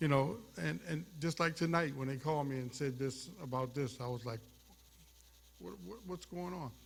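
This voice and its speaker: With lively intonation and a somewhat breathy sound, this man talks at a moderate tempo in a fairly high register. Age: 70s. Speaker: retired sportscaster. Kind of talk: award acceptance speech. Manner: halting.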